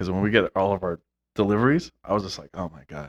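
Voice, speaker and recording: A man mumbles at a very fast pace with lively intonation. The sound is dry and close, with no echo. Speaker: podcast host. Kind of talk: casual chat.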